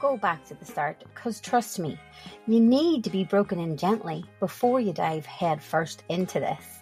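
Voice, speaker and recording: Music plays in the background as a woman with a Northern Irish accent speaks with very wide pitch swings. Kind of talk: comedic storytelling podcast. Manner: humorous, conversational.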